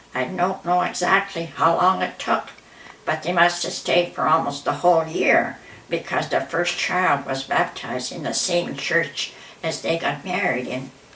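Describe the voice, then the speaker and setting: Fairly slow, fairly low-pitched speech from a woman amid noticeable background noise. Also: ordinary pitch variation. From Manitoba, Canada. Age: 90s. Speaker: grandmother telling family history. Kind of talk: reading aloud; casual interview. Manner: halting.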